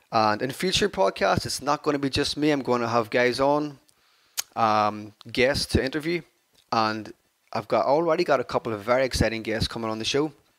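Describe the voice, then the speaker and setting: A man with an Irish accent talks at a fairly quick pace, his energetic tone carrying ordinary pitch variation. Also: medium pitch for a man. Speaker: fitness podcaster. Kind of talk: solo podcast talk.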